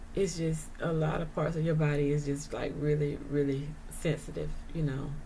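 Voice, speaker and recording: A woman speaks at a moderate pace in a very deep, low voice. Room echo is audible. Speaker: vlogger sharing her chronic illness experience. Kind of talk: casual monologue vlog. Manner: hesitant, many fillers.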